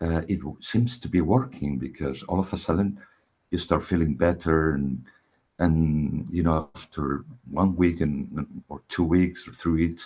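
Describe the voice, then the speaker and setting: Dark, mellow tone with ordinary pitch variation. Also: man, very deep, low pitch for a man. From Spain (Barcelona). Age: 60s. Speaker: orchestra conductor, spiritual seeker. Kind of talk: testimony in a one-to-one spiritual session. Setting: call. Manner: halting, many fillers and repetitions.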